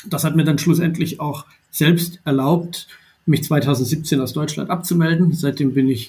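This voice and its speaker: A man's somewhat breathy voice with a dark, mellow tone, a moderate pace and fairly even intonation. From Baden-Württemberg, southwest Germany. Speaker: entrepreneur. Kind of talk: podcast interview. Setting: remote recording.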